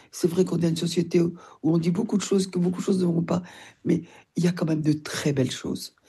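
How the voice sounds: Speaking fairly quickly, a woman has a fairly low, dark, mellow voice with a husky, rough edge, vocal fry and fairly even intonation.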